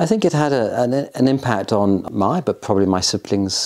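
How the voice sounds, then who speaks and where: A man with an RP accent, at a moderate pace. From England. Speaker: son of a war veteran. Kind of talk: interview. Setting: at home in Oxford. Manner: hesitant.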